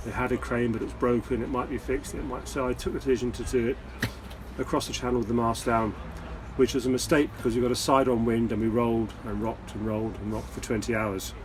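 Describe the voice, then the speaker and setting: Noticeable background noise under a man's very fast-paced speech. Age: 60s. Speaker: sailor, retired boat traveller. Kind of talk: casual chat. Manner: halting, repeats words.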